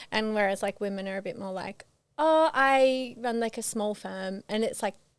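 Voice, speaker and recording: Recorded very cleanly over a silent background, the speaker talks at a moderate pace with an Australian accent and ordinary pitch variation. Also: woman, fairly high pitch for a woman. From Queensland, Australia. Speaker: reality TV participant. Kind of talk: podcast interview. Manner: loud; hesitant.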